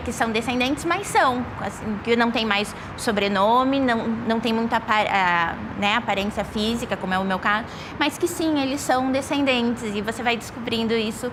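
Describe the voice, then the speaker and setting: With audible room echo and noticeable background noise, a woman with a fairly high pitch speaks at a moderate pace with ordinary pitch variation. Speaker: diplomat. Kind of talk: documentary interview.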